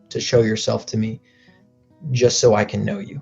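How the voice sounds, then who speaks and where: A man speaks with an American accent at a medium pitch. Music plays in the background. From United States. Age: young. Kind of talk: interview answer. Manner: casual storytelling.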